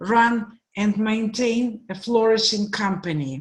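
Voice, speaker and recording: In a Russian accent, a woman speaks at a fairly high pitch and a very slow pace. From Russia, Moscow. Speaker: guest speaker, program director. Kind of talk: presentation.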